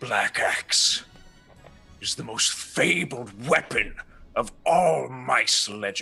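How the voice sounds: A man uses a put-on character voice, gravelly with a husky, rough edge, vocal fry and a bright, sharp tone. He speaks at a slow pace over faint music in the background. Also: medium pitch for a man, lively intonation.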